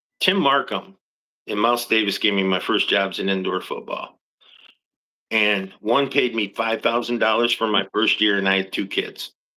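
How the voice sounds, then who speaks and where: Using an unremarkable speaking voice, a man speaks at a moderate pace with a fairly low pitch and fairly even intonation. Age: 60s. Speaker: football coach. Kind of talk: interview.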